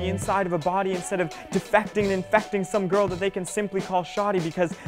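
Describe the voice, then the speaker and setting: A man speaks in a high voice with fairly even intonation. Music plays in the background. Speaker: spoken word poet. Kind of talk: spoken word poetry performance. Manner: rhythmic.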